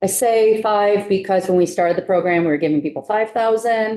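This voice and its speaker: In an American accent, a woman talks at a medium pitch with a dark, mellow tone. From New York. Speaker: housing finance agency official. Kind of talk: committee testimony.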